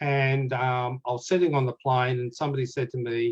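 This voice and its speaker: A man in an Australian accent speaks in a somewhat breathy voice. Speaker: Titanic author and researcher. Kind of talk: casual chat.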